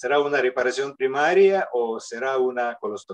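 Over a quiet background, a man with a non-native accent speaks at a fairly slow pace with ordinary pitch variation. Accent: foreign accent in Spanish. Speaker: surgeon, panelist; panelist. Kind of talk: panel discussion. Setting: video call. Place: office. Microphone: video call.

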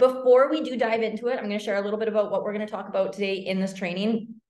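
A woman's voice with audible room echo against a quiet background. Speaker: online business coach. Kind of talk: webinar presentation. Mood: upbeat, excited. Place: home room. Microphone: webcam.

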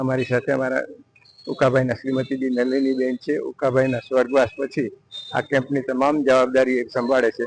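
A man speaks at a medium pitch in a flat monotone. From Gujarat, Saurashtra (Upleta). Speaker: doctor. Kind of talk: interview statement.

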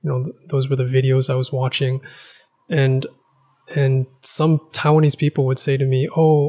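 A somewhat breathy man's voice, dark and mellow in tone, monotone and flat, at a fairly quick pace against a quiet background. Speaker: language-learning YouTuber. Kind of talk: casual vlog monologue. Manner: hesitant, many filler words. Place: home room. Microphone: studio mic.

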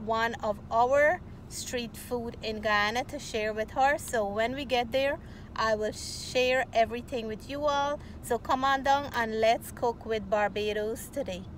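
A woman speaks at a fairly slow pace with fairly even intonation. The sound is dry with no echo, and there is light background noise. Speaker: cooking vlogger. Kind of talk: casual vlog chat. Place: car. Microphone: phone near.

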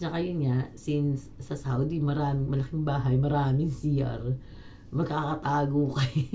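A woman's very deep, low pitch with monotone, flat intonation, very even loudness, a moderate pace and audible room echo. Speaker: domestic helper and vlogger. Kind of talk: casual vlog monologue.

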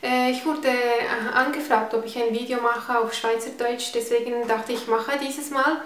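A woman's high-pitched, monotone, flat delivery at a moderate pace with hardly any pauses, audible room echo and light background noise. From Switzerland. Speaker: beauty vlogger. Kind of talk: casual talk to camera, product review. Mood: cheerful, friendly. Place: home room.

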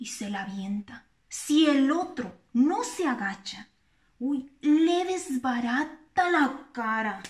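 Against a quiet background, the voice moves at a very slow pace with big swings in loudness. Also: woman, high pitch for a woman. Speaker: storyteller. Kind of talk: casual vlog chat. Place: kitchen. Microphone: phone near.

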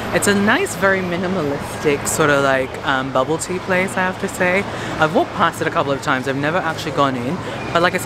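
Loud background noise fills this dry recording with no echo. The speech runs at a very fast pace. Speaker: vlogger. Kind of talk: casual vlog chat. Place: street. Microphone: phone near.

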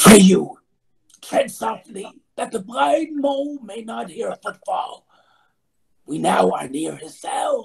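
In a whispered, put-on character voice, the speaker goes at a fairly slow pace with long, frequent pauses. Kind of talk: Shakespearean stage verse. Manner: urgent, whispering, fawning.

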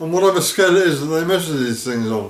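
A man is speaking. The room's echo can be heard. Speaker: vlogger. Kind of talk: narrated vlog account. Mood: serious, earnest. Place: home room.

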